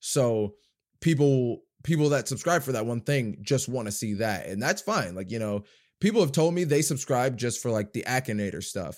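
A man speaks in a normal speaking voice at medium pitch with lively intonation. The recording is very clean, with a silent background. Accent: American. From US, New Jersey and various states. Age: 20s. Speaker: YouTuber and actor. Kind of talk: casual interview chat.

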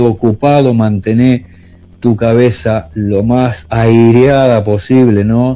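A man with an Argentine accent at a medium pitch, dark, mellow tone, ordinary pitch variation and a very slow pace. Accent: Rioplatense Argentine Spanish. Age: 50s. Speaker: musician and long-distance driver. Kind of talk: radio interview. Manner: hesitant.

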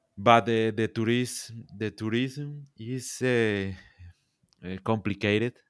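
A man speaks fairly slowly with a Colombian coastal accent at medium pitch and with fairly even intonation. The recording is very clean with a silent background. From Colombia, Caribbean coast. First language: Spanish. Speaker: social media content creator. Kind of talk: casual interview. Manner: halting.

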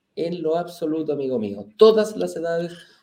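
With lively intonation and a dark, mellow tone, a man talks at a moderate pace in a fairly high pitch. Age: 40s. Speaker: real estate investment show host. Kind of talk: casual chat.

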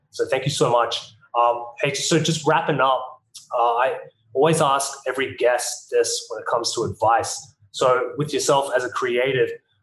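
Speaking at a moderate pace, a man has an Australian accent. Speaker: podcast host. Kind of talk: interview conversation. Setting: video call.

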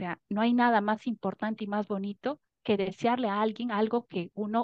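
The speaker uses a normal speaking voice. The pace is moderate and the intonation fairly even. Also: woman. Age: 30s. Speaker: coaching client. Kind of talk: testimony.

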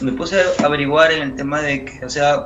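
A man speaks at a fairly slow pace in a fairly high pitch. Audible room echo and noticeable background noise surround him. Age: 20s. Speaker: street singer. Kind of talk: interview testimony.

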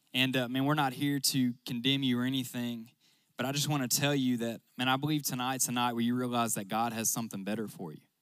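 A man in a Southern US accent talks at a very fast pace and a medium pitch. The recording is very clean, with a silent background. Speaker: youth pastor. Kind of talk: sermon. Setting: stage with audience. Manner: animated.

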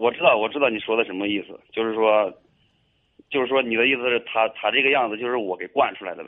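Speaking at a very fast pace, a man of medium pitch keeps his intonation fairly even. His loudness swings widely. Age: 20s. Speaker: caller seeking advice. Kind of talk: radio call-in. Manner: halting, hesitant.

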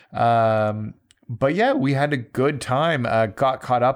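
A man's unremarkable speaking voice at medium pitch, lively intonation, quiet background. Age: 40s. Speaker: gaming podcast host. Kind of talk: casual chat.

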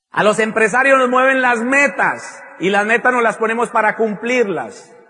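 A man speaks at a fairly slow pace in a raised, projected voice. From Colombia. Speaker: motivational speaker. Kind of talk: motivational talk.

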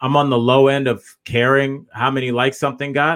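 A man with a plain, everyday voice speaks at a medium pitch and a fairly slow pace. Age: 40s. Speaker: comedian and podcast host. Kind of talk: casual chat.

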